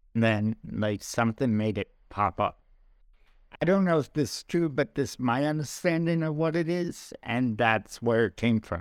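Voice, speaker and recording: On a very clean recording with a silent background, a man with a New York accent talks at medium pitch and a moderate pace. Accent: New York American. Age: 40s. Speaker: comedian. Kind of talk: casual chat.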